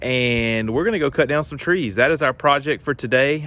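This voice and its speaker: A man with a Southern US accent, medium pitch, ordinary pitch variation, a bright, sharp tone and a moderate pace. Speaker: homesteading vlogger. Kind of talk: casual vlog narration. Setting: outdoors in woods. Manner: loud.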